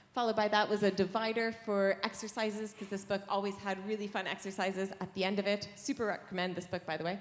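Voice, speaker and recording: A woman with a Canadian accent speaks at medium pitch and a fairly quick pace. Her intonation is fairly even, and there is noticeable background noise. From Canada. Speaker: software engineer, conference speaker. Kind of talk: conference lightning talk. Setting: stage with audience.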